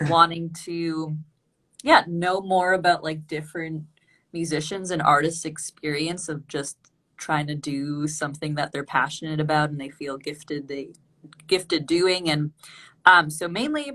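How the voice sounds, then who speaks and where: A woman's very deep, low voice with a bright, sharp tone, ordinary pitch variation, big swings in loudness, a fairly slow pace and long, frequent pauses, against a quiet background. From Canada. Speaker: show host. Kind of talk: interview.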